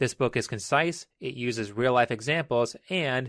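A man's unremarkable speaking voice at a moderate pace with ordinary pitch variation, in a dry, close sound with no echo, on a very clean recording with a silent background. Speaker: video essayist. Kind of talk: opinionated commentary. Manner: argumentative, sarcastic.

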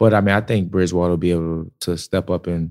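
The recording is very clean over a silent background. A dark, mellow tone marks the voice. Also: man. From New Orleans, Louisiana. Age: 20s. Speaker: entrepreneur and event promoter. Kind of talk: casual chat.

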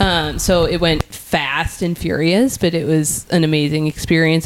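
A woman with a very deep, low pitch speaks at very even loudness and with fairly even intonation, with hardly any pauses and noticeable background noise behind her. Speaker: entrepreneur. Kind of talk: casual chat.

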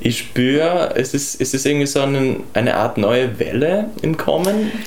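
Through noticeable background noise and audible room echo, a man speaks with a fairly high pitch and lively intonation. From Austria, Tyrol. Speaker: singer-songwriter. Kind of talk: casual chat. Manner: halting, repeats words.

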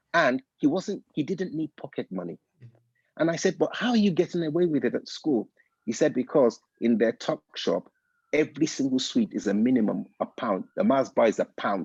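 Against a quiet background, with a dry, close sound and no echo, a man speaks at a moderate pace in a fairly high pitch, with vocal fry and very wide pitch swings. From Nigeria. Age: 50s. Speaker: consultant and motivational speaker. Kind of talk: casual chat.

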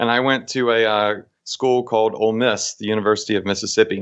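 An unremarkable speaking voice from a man with an American accent, medium in pitch with fairly even intonation. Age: 30s. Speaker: e-commerce marketing expert. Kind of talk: interview. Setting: call.

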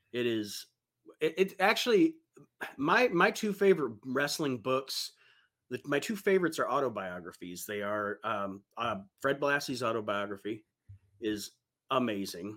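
A man with an American accent and a medium pitch speaks with very wide pitch swings and long, frequent pauses. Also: moderate pace. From Ohio, US (Toledo). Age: 40s. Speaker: podcast host. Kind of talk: casual interview.

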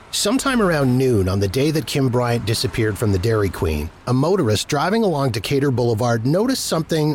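Over noticeable background noise, a man with a medium pitch and a serious tone speaks at a fairly quick pace with very wide pitch swings. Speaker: true crime narrator. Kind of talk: scripted true-crime narration. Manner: measured, serious storytelling tone; formal, steady pacing.

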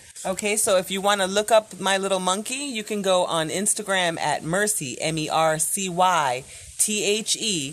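Her American accent comes through as a woman speaks at a medium pitch with ordinary pitch variation. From New York, the Bronx. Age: 40s. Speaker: guest, host's mother. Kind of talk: casual chat.

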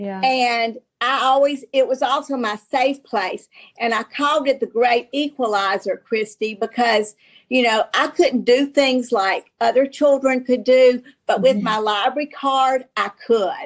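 In a Southern US accent, a woman speaks with a high pitch. She goes at a fairly slow pace. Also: ordinary pitch variation. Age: 60s. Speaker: novelist. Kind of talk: casual interview.

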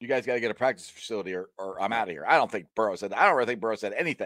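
A man with an American accent speaks with vocal fry. The recording is very clean, with a silent background, and the sound is dry and close with no echo. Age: 40s. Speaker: sports podcaster. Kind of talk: casual chat.

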